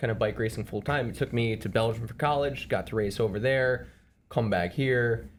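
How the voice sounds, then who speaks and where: A man with an American accent speaks at a medium pitch, his pitch varying in an ordinary way. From Chicago area, Evanston. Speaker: amateur bike racer. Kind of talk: casual podcast chat. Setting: studio podcast on camera.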